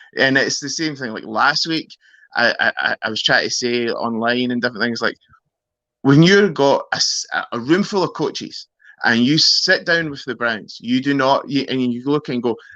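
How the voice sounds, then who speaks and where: With a Scottish accent, a man speaks at a moderate pace in a fairly high, bright, sharp voice with ordinary pitch variation over a quiet background. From Scotland, Glasgow. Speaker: sports fan guest. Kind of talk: casual chat.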